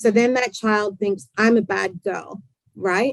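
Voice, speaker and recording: In an ordinary speaking voice, a woman talks at a moderate pace with a fairly high pitch and fairly even intonation, the sound dry and close with no echo. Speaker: clinical psychologist. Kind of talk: interview. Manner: casual, conversational.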